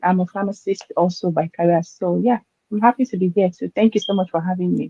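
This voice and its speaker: This woman's voice sits at a medium pitch. It comes across as somewhat breathy. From Nigeria. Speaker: pharmacist and online entrepreneur. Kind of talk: interview.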